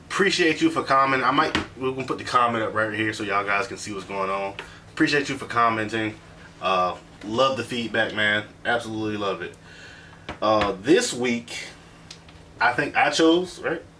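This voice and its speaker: Over noticeable background noise, a man with a medium pitch speaks at a moderate pace with ordinary pitch variation and long, frequent pauses. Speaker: podcast host. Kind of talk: casual chat. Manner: animated.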